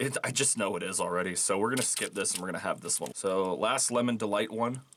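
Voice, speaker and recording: With noticeable background noise around him, a man talks at a very fast pace, his fairly low pitch showing ordinary pitch variation. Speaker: YouTuber doing a food review. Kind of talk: casual candy review while eating. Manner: casual, with fillers.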